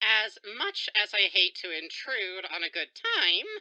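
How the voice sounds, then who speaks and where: A woman puts on a character voice at a medium pitch, talking fairly slowly with fairly even intonation. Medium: audio drama. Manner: dry, formal, reserved.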